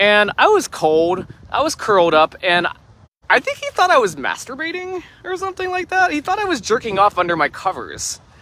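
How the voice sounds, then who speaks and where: A man's raised, projected voice sits at an extremely high pitch, with very wide pitch swings. He keeps a moderate pace, and the sound is dry and close with no echo. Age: 30s. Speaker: livestreamer. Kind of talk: casual chat. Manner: halting.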